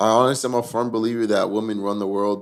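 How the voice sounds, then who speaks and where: Speaking with fairly even intonation, a man keeps to a fairly low pitch. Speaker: podcast host. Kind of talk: casual chat.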